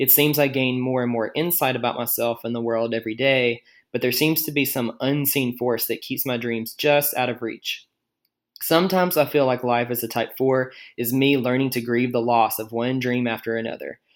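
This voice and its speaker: A man speaks in a normal speaking voice at a medium pitch. His pace is moderate and his intonation fairly even. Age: 20s. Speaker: listener leaving voicemail. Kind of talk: voicemail message.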